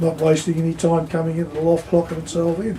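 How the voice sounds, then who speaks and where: A man with an Australian accent speaks at a fairly high pitch. Noticeable background noise runs underneath. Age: 70s. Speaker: pigeon racer. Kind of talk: interview.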